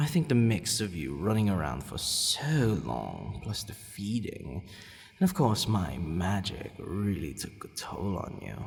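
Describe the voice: Putting on a character voice, a man talks low-pitched with big pitch swings, vocal fry, and few pauses. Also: fairly slow pace.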